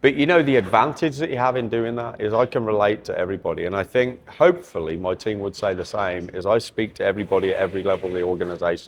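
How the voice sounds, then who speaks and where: A man with a fairly low pitch speaks at a very fast pace. There are hardly any pauses. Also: lively intonation. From England, Birmingham area (Redditch). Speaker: company executive. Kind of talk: interview. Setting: trade show stand.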